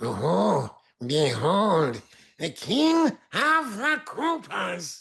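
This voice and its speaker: A put-on character voice unfolds at a very slow pace. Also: man, high pitch for a man. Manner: pompous, grandiose.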